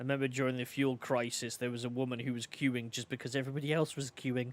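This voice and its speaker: The speaker has an English accent and talks at a very fast pace. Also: man, medium pitch for a man. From England. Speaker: video game streamer. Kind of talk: casual gaming livestream commentary. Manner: animated.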